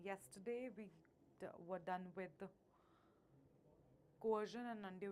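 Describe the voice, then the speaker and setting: A woman speaks with an Indian accent at a medium pitch. Her intonation is fairly even and her pace moderate. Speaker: law entrance exam teacher. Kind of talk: live online class. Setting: live stream class.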